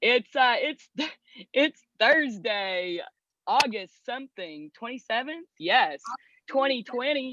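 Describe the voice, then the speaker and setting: A woman speaks loudly and very slowly in a high, bright, sharp voice with very wide pitch swings. The sound is dry and close with no echo, over a quiet background. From Kentucky. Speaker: podcast host. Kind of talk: casual chat. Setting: outdoors. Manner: animated.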